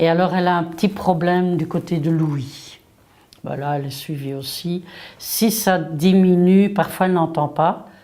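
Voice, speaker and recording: Her voice is fairly low and dark and mellow in tone, and the woman speaks at a fairly slow pace with fairly even intonation. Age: 60s. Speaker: parent of an athlete. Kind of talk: interview.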